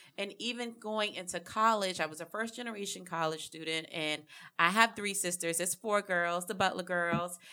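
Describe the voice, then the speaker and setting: Bright and sharp in tone, a woman speaks with a South Carolina accent and ordinary pitch variation. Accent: Southern US (South Carolina). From US South, South Carolina (rural). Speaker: podcast co-host, health administrator. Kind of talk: casual chat.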